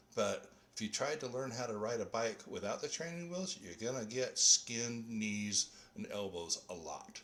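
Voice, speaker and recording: A man with an American accent speaks in a plain, everyday voice at medium pitch. His intonation is lively and his pace moderate. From Arizona, Phoenix suburb. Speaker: bagpipe music resource creator. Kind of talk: podcast interview.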